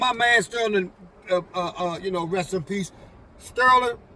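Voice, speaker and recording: A man with an American accent, high-pitched and raised in a projected voice, at a moderate pace with ordinary pitch variation, amid noticeable background noise. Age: 60s. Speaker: go-go musician, former drug dealer. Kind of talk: casual chat. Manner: halting, many fillers.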